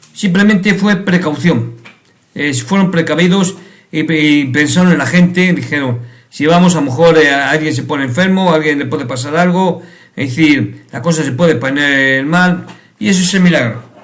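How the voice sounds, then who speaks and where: Set in audible room echo, a man's fairly high voice moves at a moderate pace with ordinary pitch variation. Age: 50s. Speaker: YouTube commentator. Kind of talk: video commentary monologue. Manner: halting, many repetitions and fillers.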